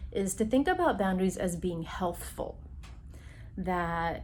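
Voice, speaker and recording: Audible room echo colors a woman's somewhat breathy voice, pitched at a medium level. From immigrant Taiwanese Chinese family background. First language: Chinese (Mandarin or Taiwanese). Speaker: psychologist. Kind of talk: recorded workshop talk. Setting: remote recording.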